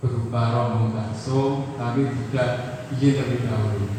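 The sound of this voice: In a room with strong echo, a man of medium pitch speaks at a fairly slow pace with a slightly mellow tone and little pitch movement.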